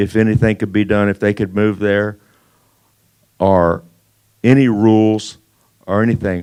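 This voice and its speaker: A man with a Texan accent speaks at a moderate pace and a fairly low pitch, with long, frequent pauses. His tone is dark and mellow, and his intonation is monotone and flat. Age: 60s. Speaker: landowner speaking at public hearing. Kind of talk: public comment. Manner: halting.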